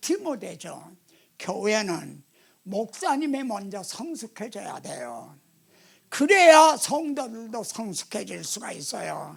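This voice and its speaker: A man speaks at a very slow pace in a high voice, his pitch swinging very widely and his loudness rising and falling sharply. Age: 80s+. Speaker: pastor. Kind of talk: sermon.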